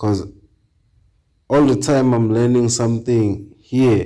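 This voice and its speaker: The voice has a dark, mellow tone and a non-native accent, with fairly even intonation. Room echo is audible. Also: man. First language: not English. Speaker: reaction channel host. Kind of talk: casual chat. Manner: halting.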